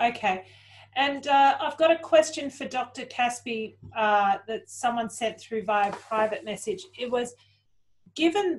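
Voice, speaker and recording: A woman speaks at a fairly slow pace with a high pitch. Her intonation is lively. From Australia. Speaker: panel moderator. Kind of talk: moderating Q&A. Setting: video call. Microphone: video call.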